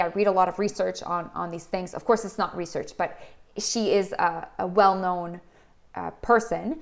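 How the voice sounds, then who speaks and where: Woman with a French accent, medium pitch, fairly even intonation and moderate pace. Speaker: doctor and leadership health channel host. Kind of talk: video talk to camera. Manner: halting, many false starts; casual.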